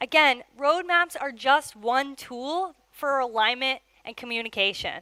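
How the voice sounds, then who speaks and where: Fairly slow and with a bright, sharp tone, a woman projects a raised, high-pitched voice with ordinary pitch variation. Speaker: product manager. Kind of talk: conference talk. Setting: stage with audience.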